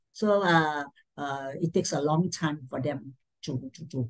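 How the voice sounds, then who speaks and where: A woman speaks with a Malaysian accent against a quiet background. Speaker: education administrator; presenter. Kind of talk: talk sharing. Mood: warm, encouraging. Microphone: video call.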